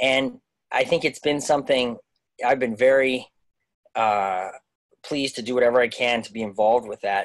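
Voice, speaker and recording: A man keeps a moderate pace and fairly even intonation, the background around him quiet. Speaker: guest. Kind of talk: interview answer. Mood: earnest, thoughtful. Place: home room. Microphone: video call.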